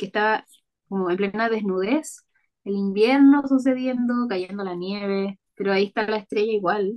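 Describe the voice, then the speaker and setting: A woman with a Chilean accent, medium pitch, ordinary pitch variation and a moderate pace. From Chile, Maule region (Parral). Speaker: illustrator. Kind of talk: interview conversation.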